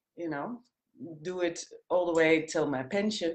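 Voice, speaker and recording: A woman speaks with a Dutch accent at a fairly low pitch. Her intonation stays fairly even. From Netherlands, Amsterdam. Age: 50s. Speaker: former flight attendant, coaching client. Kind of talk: interview. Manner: halting.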